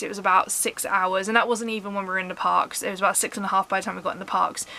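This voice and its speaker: In a southern English accent, a woman speaks at a medium pitch in a monotone, flat way against noticeable background noise. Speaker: vlogger. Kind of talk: casual vlog talk. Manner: fast.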